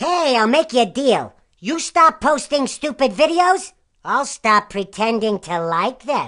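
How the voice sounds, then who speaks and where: A female-sounding cartoonish character voice, high-pitched and fairly slow, against a quiet background. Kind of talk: comedic insult greeting. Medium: puppet. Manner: snarky, mocking.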